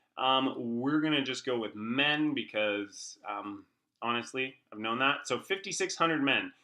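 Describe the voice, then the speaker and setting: Against a quiet background, a man with a fairly high pitch and a bright, sharp tone speaks at a fairly slow pace with lively intonation. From Canada. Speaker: online marketing coach. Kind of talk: screen-share tutorial. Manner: casual, filler-heavy.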